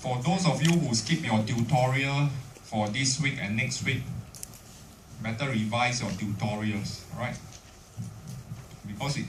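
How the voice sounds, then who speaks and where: Amid noticeable background noise and audible room echo, a man with a Singaporean accent speaks at a medium pitch with ordinary pitch variation. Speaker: university lecturer. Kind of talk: lecture.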